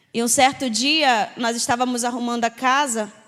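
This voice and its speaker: A woman speaks in a high pitch. She keeps a moderate pace. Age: 20s. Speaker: missionary. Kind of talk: testimony.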